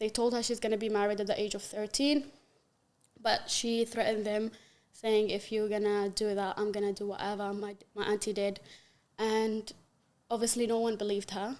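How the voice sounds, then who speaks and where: A woman with an Arabic accent, fairly high in pitch, flat and monotone, at a moderate pace with long, frequent pauses. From Yemen. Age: 20s. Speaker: human rights activist. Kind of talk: podcast interview, personal testimony. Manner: halting, with frequent fillers.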